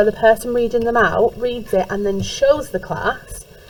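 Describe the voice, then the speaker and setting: Noticeable background noise sits behind the speaker. She is a woman with a high voice. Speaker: music teacher. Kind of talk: recorded lesson instructions for class.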